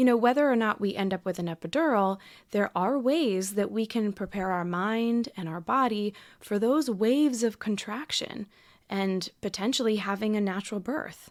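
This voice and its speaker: The recording is very clean, with a silent background. A woman speaks at a moderate pace with ordinary pitch variation. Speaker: podcast host. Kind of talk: podcast intro narration.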